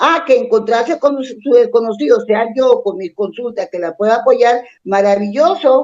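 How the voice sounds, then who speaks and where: Her voice is fairly high in pitch yet dark and mellow in tone, and this woman speaks with lively intonation. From Colombia, Bogotá. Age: 70s. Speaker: psychologist and family constellations therapist. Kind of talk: interview conversation. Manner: animated.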